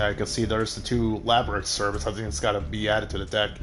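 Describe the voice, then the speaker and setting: Fairly low male voice amid noticeable background noise, with audible room echo. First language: Spanish. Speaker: gaming streamer. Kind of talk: live gameplay commentary. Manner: casual, hesitant with many fillers.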